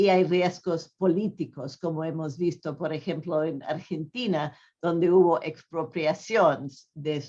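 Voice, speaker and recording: In a non-native accent, a woman speaks very slowly with a very deep, low pitch and a dark, mellow tone. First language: not Spanish (speaking Spanish). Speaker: pension economist speaker. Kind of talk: conference talk. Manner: halting, many fillers.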